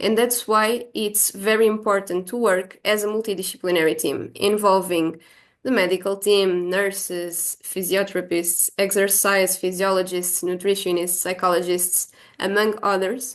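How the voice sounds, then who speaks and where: A normal speaking voice at a moderate pace, with fairly even intonation, very even loudness and a quiet background. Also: woman, medium pitch for a woman. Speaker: exercise science researcher. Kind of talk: lecture.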